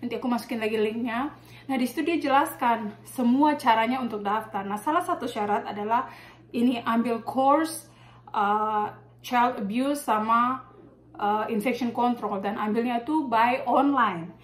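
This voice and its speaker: A woman with a high pitch and a slight Maluku accent, at a moderate pace. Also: ordinary pitch variation. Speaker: nurse and vlogger. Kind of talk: casual tutorial vlog. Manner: casual, with many fillers.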